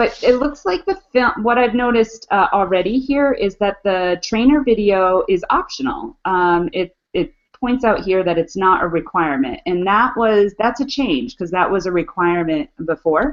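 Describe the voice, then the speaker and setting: In a normal speaking voice, a woman talks at a moderate pace with hardly any pauses, a medium pitch and lively intonation. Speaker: educational technology trainer, webinar co-host. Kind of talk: online webinar walkthrough.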